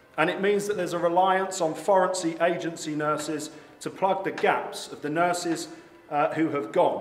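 With an English accent and a high pitch, a man talks at a moderate pace with fairly even intonation, and audible room echo fills the recording. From England. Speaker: political candidate. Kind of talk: political speech. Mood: indignant, campaigning. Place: hall. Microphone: podium.

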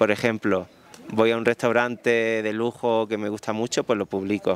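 A man speaks in a flat, monotone way with an Andalusian accent, recorded dry with no echo. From southern Andalusia, Spain. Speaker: wedding photographer; guest. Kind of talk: interview. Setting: live audience event. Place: garden. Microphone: handheld.

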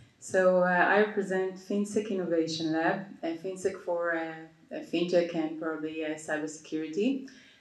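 A woman talks at a moderate pace with ordinary pitch variation. Audible room echo surrounds her against a quiet background. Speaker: panelist. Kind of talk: panel discussion answer. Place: stage.

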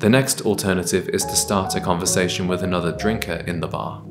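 Speaking at a fairly quick pace, a man is heard over clear music in the background. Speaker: style content creator. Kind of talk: advice talk to camera. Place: kitchen.

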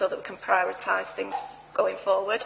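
Light background noise can be heard. Over it, a woman talks. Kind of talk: formal meeting chairing. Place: hall. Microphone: podium.

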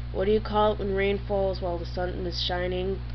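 A woman's very deep, low voice in an American accent, monotone and flat, over noticeable background noise. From New England, US. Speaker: YouTuber. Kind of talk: casual vlog. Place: home room. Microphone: webcam.

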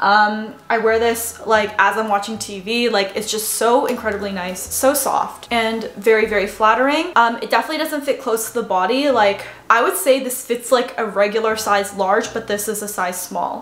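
A woman with a Canadian accent, fairly high-pitched with ordinary pitch variation, at a moderate pace with hardly any pauses and audible room echo. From Canada. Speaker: fashion YouTuber. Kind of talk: casual haul video talk to camera. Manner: animated. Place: home room. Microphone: camera far.

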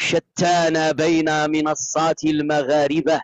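Speaking at a very slow pace, a man uses a fairly high pitch. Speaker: TikTok live streamer. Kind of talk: heated debate.

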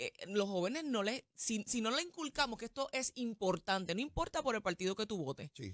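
A woman's fairly high voice with very wide pitch swings, fairly quick pace and hardly any pauses, dry with no echo, quiet background. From Puerto Rico. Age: young. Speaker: TV panelist. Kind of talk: interview. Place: studio. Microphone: studio mic.

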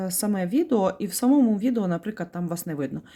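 A woman speaks at a medium pitch in a dark, mellow tone. Her pitch swings very widely. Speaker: video blogger. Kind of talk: tutorial. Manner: explanatory, friendly.

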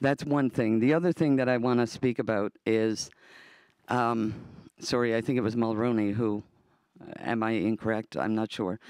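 Spoken at a moderate pace with an ordinary amount of pitch variation, this voice with a Newfoundland accent has long, frequent pauses and very even loudness, set against a quiet background in a dry recording with no echo. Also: man. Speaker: audience member and part-time student; audience member. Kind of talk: audience Q&A comment. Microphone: handheld.

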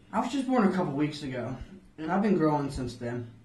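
There is audible room echo as a man speaks. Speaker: student playing a flea in a mock interview. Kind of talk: interview answer. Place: office.

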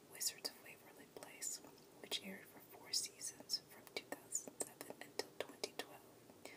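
Noticeable background noise accompanies whispering at a moderate pace. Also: woman. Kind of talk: ASMR biography reading. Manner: soft-spoken.

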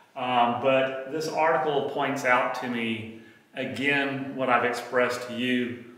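This voice belongs to a man. The room around him adds audible echo. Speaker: health educator. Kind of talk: lecture. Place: gym.

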